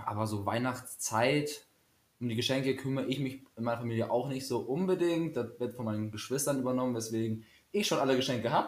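A man speaks at a very fast pace with a medium pitch and ordinary pitch variation. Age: 20s. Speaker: student teacher podcaster. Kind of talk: casual chat.

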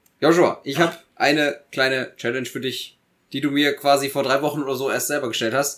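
A fairly high-pitched man at a fairly quick pace, flat and monotone, on a very clean recording with a silent background. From Germany, Eifel region. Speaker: podcast co-host. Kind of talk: casual chat. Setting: studio.

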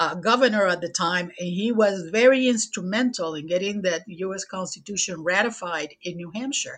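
A woman speaks at a moderate pace in a Puerto Rican accent, her medium pitch showing ordinary variation against a quiet background. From Puerto Rico. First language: Spanish. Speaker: air force veteran and local historian. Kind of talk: podcast interview.

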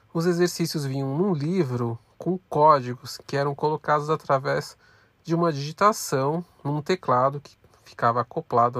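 In a very clean recording with a silent background and a dry, close sound with no echo, a man with a normal speaking voice talks at a moderate pace, fairly high in pitch, with ordinary pitch variation. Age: 30s. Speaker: podcast host, student. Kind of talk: scripted narration.

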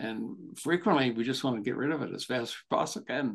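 The speaker has an ordinary speaking voice, with ordinary pitch variation and a moderate pace. Nothing can be heard in the quiet background. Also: man. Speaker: podcast host, therapist and author. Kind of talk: casual interview chat.

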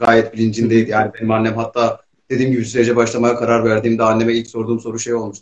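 This man talks very fast at a medium pitch. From eastern Turkey. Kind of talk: casual chat. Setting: video call.

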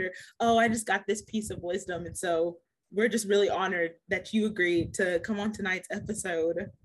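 The voice is an unremarkable speaking voice with fairly even intonation. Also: woman. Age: 20s. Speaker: podcast host. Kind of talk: casual interview.

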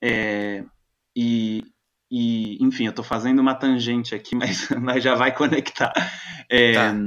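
Long, frequent pauses break up a man's monotone, flat delivery at a fairly slow pace. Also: medium pitch for a man. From Brazil, Florianópolis. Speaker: playwright and researcher. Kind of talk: interview conversation. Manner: halting, many fillers.

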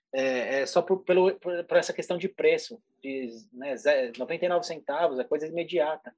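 A man speaks at a high pitch. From São Paulo state, Brazil. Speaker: advertising executive. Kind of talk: casual interview chat.

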